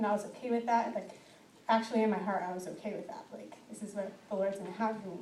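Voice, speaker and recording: Very fast and flat in a monotone, a woman's medium-pitched voice swings widely in loudness, with audible room echo and noticeable background noise. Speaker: testimony speaker. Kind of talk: testimony. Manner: halting.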